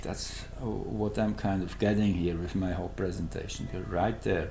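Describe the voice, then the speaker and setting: Speaking with a Swiss German accent, a man talks at a fairly slow pace amid audible room echo. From Switzerland. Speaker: astrologer. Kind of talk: astrology presentation. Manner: halting, searching for words.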